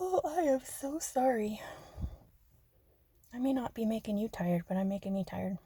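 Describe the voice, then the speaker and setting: Her voice has a dark, mellow tone and is somewhat breathy. The woman talks at a moderate pace. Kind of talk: relaxing ASMR-style rambling talk. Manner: soft-spoken, not whispery.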